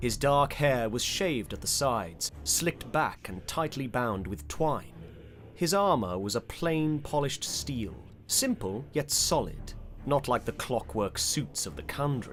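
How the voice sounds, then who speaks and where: A man speaks at a medium pitch and a fairly slow pace, his pitch swinging very widely, with music playing in the background. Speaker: audiobook narrator. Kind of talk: audiobook narration of fantasy fiction.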